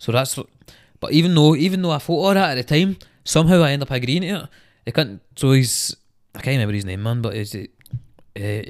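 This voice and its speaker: A man with a Scottish accent at a very fast pace, very clean recording with a silent background. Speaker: rapper. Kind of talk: casual chat. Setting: studio.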